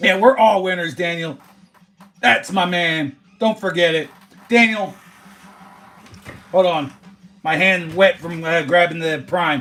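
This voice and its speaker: Loud and high-pitched, a man speaks with long, frequent pauses while music plays in the background. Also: ordinary pitch variation, fairly slow pace. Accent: American. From Philadelphia area, US. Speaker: sports card livestreamer. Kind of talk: casual live stream chat. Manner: loud and boisterous.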